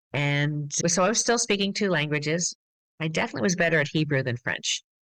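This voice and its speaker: Very deep, low pitch from a woman, with lively intonation, very even loudness, and a dry, close sound with no echo. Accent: American. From US Midwest and Massachusetts. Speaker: glass artist and studio owner. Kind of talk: interview.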